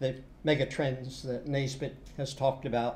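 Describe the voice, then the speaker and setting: Speaking at a moderate pace with an American accent, a man has a dark, mellow, somewhat breathy voice, with audible room echo around it. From United States and UK. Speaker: university lecturer. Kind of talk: lecture. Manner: hesitant, many fillers.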